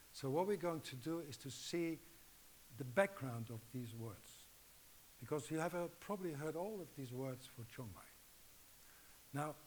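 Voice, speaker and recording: With a Dutch accent, a man speaks at a fairly slow pace in a fairly high pitch with lively intonation. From Netherlands. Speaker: acupuncture teacher. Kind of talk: lecture. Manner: halting.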